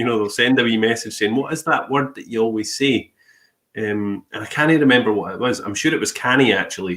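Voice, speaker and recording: A man with a Scottish accent talks at a moderate pace in a medium pitch with ordinary pitch variation. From Scotland. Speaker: podcast host. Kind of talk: casual interview chat.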